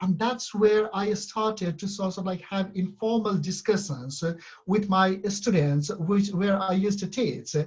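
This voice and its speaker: Speaking with a non-native accent at a fairly slow pace, this voice shows ordinary pitch variation and hardly any pauses. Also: man, high pitch for a man. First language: not English. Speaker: university lecturer. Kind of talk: conference presentation. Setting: web conference. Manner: halting, many fillers.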